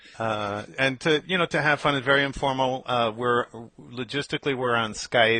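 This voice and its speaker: This man has a plain, everyday voice with an American accent. His medium pitch shows ordinary variation at a moderate pace. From New York. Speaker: FileMaker developer, podcast host. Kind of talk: casual podcast chat. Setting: Skype call.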